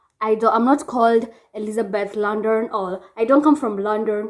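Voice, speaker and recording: A woman talks with a Kenyan accent. Her pace is moderate. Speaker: vlogger. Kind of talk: casual vlog chat. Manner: animated.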